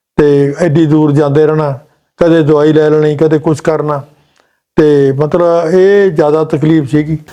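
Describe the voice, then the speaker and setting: A man with a Punjabi accent speaks at a fairly high pitch with monotone, flat intonation. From Punjab, India. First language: Punjabi (speaking Hindi). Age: 70s. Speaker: patient, retired electrical engineer. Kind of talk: testimony.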